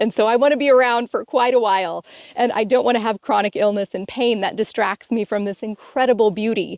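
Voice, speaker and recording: In a dry, close recording with no echo, a woman with an ordinary speaking voice talks at a fairly quick pace in a fairly high pitch. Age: 40s. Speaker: self-help video co-host. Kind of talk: casual instructional conversation.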